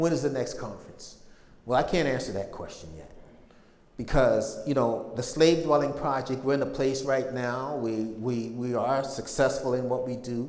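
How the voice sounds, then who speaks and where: A man's medium-pitched voice with big swings in loudness and audible room echo. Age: 60s. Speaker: public speaker on slavery history. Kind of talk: lecture.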